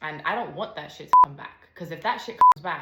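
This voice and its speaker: Over noticeable background noise and audible room echo, a woman with an American accent talks in a bubbly tone. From United States. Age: 20s. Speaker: podcast host. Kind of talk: personal testimony.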